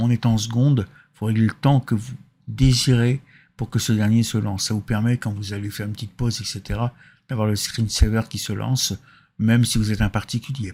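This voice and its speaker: With a dark, mellow, somewhat breathy tone, the voice moves at a fairly quick pace in a monotone, flat intonation on a very clean recording with a silent background. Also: man, medium pitch for a man. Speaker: software tutorial maker. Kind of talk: tutorial. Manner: casual, with hesitations.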